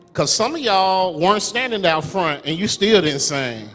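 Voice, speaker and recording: Over music in the background, a man speaks at a high pitch and moderate pace with very wide pitch swings. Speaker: preacher. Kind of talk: sermon delivered to a congregation.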